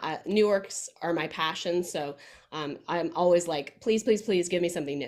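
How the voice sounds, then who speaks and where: This woman speaks with a Midwestern US accent. Her pitch varies in an ordinary way. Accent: General American, Midwest. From Kansas, US Midwest. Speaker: musical theatre performer. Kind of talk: casual interview. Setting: video call. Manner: many filler ums.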